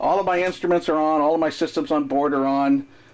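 A man's fairly high voice at a fast pace, with fairly even intonation

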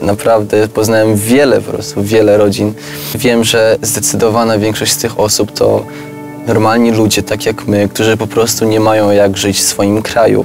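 A fairly low-pitched man at a moderate pace, the sound dry with no echo and clear music in the background. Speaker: refugee, member of a younger generation in an intergenerational conversation. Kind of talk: conversational discussion in a filmed talk. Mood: earnest, calm. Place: garden.

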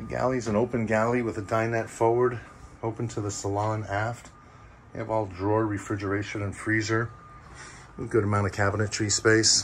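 The man's voice sits fairly low in pitch. He speaks in a flat monotone over light background noise. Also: fairly quick pace. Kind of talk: walk-through tour commentary. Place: boat. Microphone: phone near.

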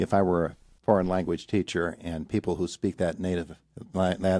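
A man's very deep, low voice with a dark, mellow tone at a fairly quick pace, dry with no echo, over a quiet background. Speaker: morning radio show host. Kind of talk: radio interview. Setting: studio. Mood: warm, friendly. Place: studio.

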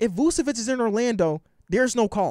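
An extremely high-pitched man's voice with an American accent and lively intonation, in a dry sound with no echo against a quiet background. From US, Chicago area. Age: 20s. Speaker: sports YouTuber. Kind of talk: casual vlog commentary. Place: home room. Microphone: handheld.

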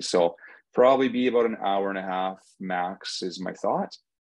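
A man with a normal speaking voice talks at a moderate pace, his pitch fairly low and its variation ordinary. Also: quiet background. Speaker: seed company host. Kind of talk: webinar introduction. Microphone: video call.

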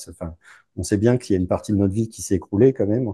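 A man with a dark, mellow tone speaks with fairly even intonation, the sound dry with no echo. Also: quiet background. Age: 40s. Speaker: divorced father; interview guest. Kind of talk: casual interview. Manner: halting. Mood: relaxed, smiling. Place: home room. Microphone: lapel.

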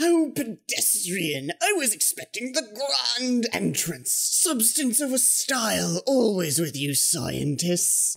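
The speaker uses a put-on character voice with fairly high pitch. The pace is fairly slow, with hardly any pauses. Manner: pompous.

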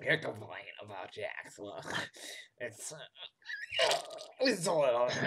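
A man puts on a raspy character voice, fairly high in pitch. He speaks at a fairly slow pace with long, frequent pauses. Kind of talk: comic overacting. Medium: game stream. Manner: condescending, patronizing.

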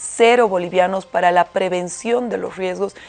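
A woman speaking at a moderate pace with fairly even intonation, faint music in the background. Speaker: council guest. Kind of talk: interview answer. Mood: critical, indignant. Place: studio.

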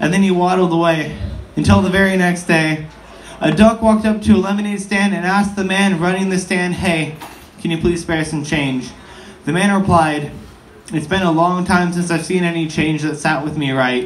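Light noise sits in the background. The pace is moderate, with ordinary pitch variation. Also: man, high pitch for a man. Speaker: spoken word poet. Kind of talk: spoken word poetry. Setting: live on stage with audience at a bar show. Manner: performed storytelling, acting out the duck and the man. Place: bar. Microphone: phone near.

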